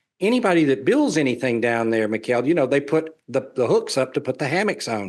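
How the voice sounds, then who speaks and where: Over a quiet background, a man with a Southern US accent talks in a fairly high-pitched voice. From US South. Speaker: real estate developer and traveler. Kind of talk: webinar presentation Q&A.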